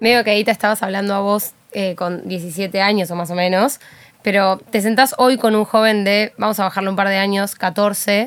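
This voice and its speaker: At a moderate pace, an ordinary speaking voice comes through with fairly even intonation. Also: woman, medium pitch for a woman. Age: young. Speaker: podcast host. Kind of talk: personal monologue; casual interview chat. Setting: studio.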